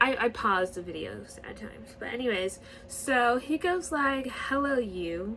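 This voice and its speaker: Fairly slow and high-pitched, a woman speaks with very wide pitch swings. Noticeable background noise is present. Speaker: YouTuber discussing TV shows. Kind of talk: casual vlog commentary. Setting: home recording, camper outside window. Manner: halting with repetitions.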